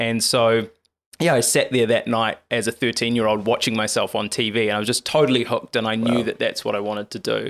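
In a very clean recording with a silent background, a man with a New Zealand accent speaks very fast, with fairly even intonation and vocal fry. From New Zealand, Lower Hutt. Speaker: TV journalist and author. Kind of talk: interview conversation.

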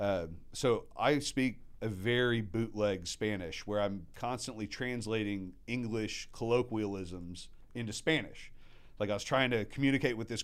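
With an American accent, a man has a plain, everyday voice, medium pitch, a moderate pace and ordinary pitch variation. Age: 40s. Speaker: restaurateur. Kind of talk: casual chat. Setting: studio.

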